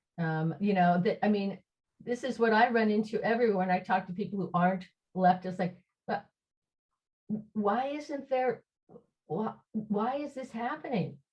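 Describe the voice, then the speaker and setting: At a moderate pace, a woman speaks in a somewhat breathy voice with long, frequent pauses. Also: medium pitch for a woman, lively intonation. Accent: American. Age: 60s. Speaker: socialist activist, discussion presenter. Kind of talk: online group discussion. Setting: video call. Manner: halting, many fillers and restarts.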